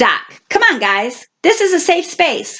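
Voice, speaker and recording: A woman's squeaky, put-on character voice at an extremely high pitch, with very wide pitch swings and a fairly slow pace. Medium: read story. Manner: easygoing, friendly.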